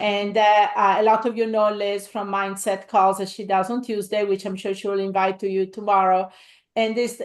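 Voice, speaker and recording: At a fairly quick pace, a woman with an Italian accent talks in a medium pitch over a quiet background. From Italy. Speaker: real estate investor and coach. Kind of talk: live webinar presentation. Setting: livestream. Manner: halting, many fillers.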